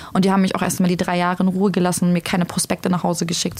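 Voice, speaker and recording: A woman speaks with a somewhat breathy voice. Her pitch sits fairly low. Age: 20s. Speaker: single mother sharing experience of domestic violence. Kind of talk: personal testimony in podcast conversation.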